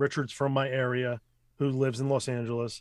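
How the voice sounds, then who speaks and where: A man with an American accent speaks at medium pitch. His intonation is monotone and flat. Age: 40s. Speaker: voice actor. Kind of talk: casual chat.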